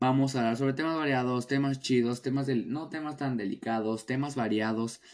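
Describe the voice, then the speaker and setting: Here a man speaks at a moderate pace. His pitch is medium. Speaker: podcast host. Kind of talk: casual solo podcast.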